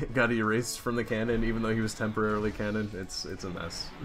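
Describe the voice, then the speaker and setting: Over music in the background, a man speaks at a very fast pace with hardly any pauses and a monotone, flat intonation. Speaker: gaming livestreamer. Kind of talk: livestream chat. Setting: livestream with chat.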